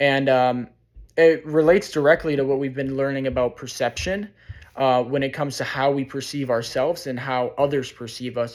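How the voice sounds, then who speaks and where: A man's normal speaking voice with an American accent, fairly even intonation, a moderate pace and a fairly high pitch. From Chicago, US Midwest. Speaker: student. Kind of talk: class presentation.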